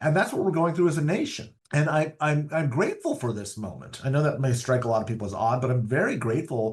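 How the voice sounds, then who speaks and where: Against a quiet background, a fairly high-pitched man speaks with lively intonation and a somewhat breathy voice. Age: 50s. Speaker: political strategist. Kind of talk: interview. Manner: repeats words when starting phrases.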